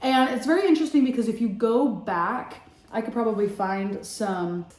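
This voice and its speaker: A somewhat breathy woman with a dark, mellow tone at a moderate pace, in audible room echo. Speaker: vlogger and former singing student. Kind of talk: casual storytelling vlog. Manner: casual, filler-heavy.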